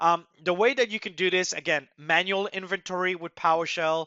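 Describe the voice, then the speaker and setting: Speaking fairly quickly with a slight French accent, the man has a high pitch and fairly even intonation. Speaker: software migration expert, webinar presenter. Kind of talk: webinar presentation.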